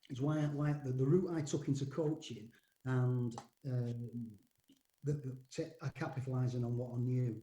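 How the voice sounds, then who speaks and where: Somewhat breathy, a man speaks at a medium pitch with a dark, mellow tone. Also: fairly even intonation, moderate pace. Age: 60s. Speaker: rugby league coach. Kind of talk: podcast interview. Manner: hesitant, many repetitions and fillers.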